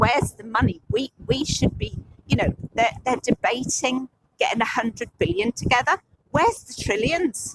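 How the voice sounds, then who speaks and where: A woman's high-pitched voice with an English accent, big swings in loudness, lively intonation and a moderate pace, in a dry, close sound with no echo. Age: 60s. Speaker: climate protester. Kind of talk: street interview. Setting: outdoors at a protest blockade. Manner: halting, many repetitions.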